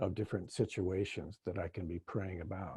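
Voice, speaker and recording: Fairly low in pitch, a man speaks in a dark, mellow, somewhat breathy tone. His intonation stays fairly even. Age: 70s. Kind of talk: panel discussion.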